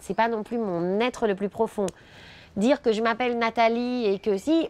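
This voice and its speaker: A woman's fairly high voice with a Parisian accent, ordinary pitch variation and a moderate pace. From France, Paris area (Charenton). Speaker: immigrant interviewee, former sales director. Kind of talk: interview testimony.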